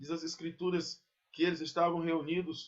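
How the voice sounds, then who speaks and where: A man speaks at a moderate pace with a fairly high pitch. His is an unremarkable speaking voice. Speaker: pastor. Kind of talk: sermon.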